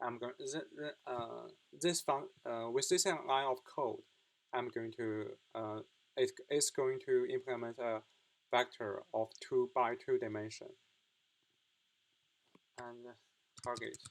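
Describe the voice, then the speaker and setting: A man talks with a non-native accent at a very slow pace. Long, frequent pauses break up his speech. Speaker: computer science student. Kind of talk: coding tutorial explanation. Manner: hesitant, with fillers and repetitions.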